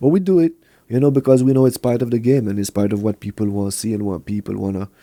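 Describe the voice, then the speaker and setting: Speaking very fast with a French accent, a man has a dark, mellow tone at medium pitch with ordinary pitch variation, the sound dry and close with no echo. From Montreal, Quebec, with years in Kingston, Jamaica. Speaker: reggae artist and producer. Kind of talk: podcast interview.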